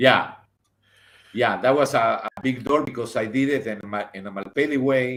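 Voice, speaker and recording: The speaker talks at a moderate pace in an animated tone with a Spanish accent. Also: man, medium pitch for a man. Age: 60s. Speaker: theater director and designer. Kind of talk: interview. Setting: live stream.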